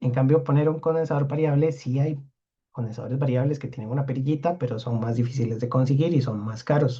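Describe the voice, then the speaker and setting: At a very fast pace, a man with a medium pitch talks in a dark, mellow, somewhat breathy tone with fairly even intonation. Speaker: university lecturer. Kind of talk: lecture.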